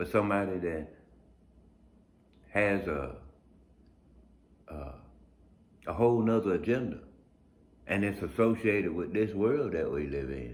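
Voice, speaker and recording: A man with a fairly low pitch and vocal fry speaks with lively intonation and long, frequent pauses. Room echo is audible. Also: moderate pace. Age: 50s. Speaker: blind video blogger. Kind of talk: casual monologue. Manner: halting, repeats words.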